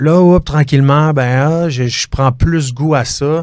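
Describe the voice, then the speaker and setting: The man speaks with fairly even intonation. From Quebec, South Shore of Montreal (Chambly). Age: 30s. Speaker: real estate broker, former fighter. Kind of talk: interview. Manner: hesitant, many fillers.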